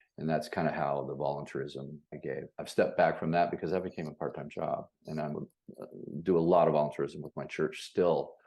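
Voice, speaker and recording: A man with an American accent talks at a fairly quick pace in a very deep, low pitch. His intonation is monotone and flat. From Los Angeles, US West Coast. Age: 60s. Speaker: commercial real estate broker and instructor. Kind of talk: interview.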